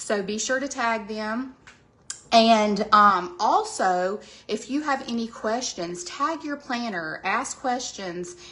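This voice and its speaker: Speaking very slowly in a Southern US accent, a woman has a fairly high pitch and a bright, sharp tone. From US South, Georgia. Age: 40s. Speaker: skincare sales presenter. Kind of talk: sales pitch. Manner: casual, chatty.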